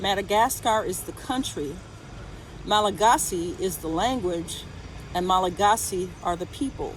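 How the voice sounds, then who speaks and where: Over noticeable background noise, a woman with an American accent speaks at a moderate pace and a medium pitch, with ordinary pitch variation. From United States. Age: 60s. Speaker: retired volunteer vlogger. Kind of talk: casual vlog monologue.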